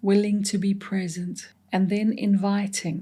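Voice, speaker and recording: A woman speaks at a very slow pace in monotone, flat intonation. Her voice is somewhat breathy, with a gentle, calm tone that is dark and mellow. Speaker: meditation guide. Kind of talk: guided meditation. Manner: slow, gentle, calm.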